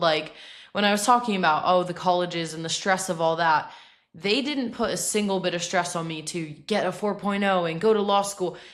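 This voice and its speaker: In audible room echo, a woman with an American accent talks at a fairly low pitch and a moderate pace. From Massachusetts, US. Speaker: fitness influencer, college bodybuilder. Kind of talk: podcast interview. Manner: chatty, bubbly.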